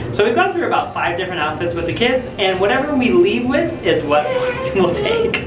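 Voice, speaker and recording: Clear music plays behind a man who talks at a fairly quick pace. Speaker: family vlogger. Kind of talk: casual vlog chat. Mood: cheerful, playful. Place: shop. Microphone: phone near.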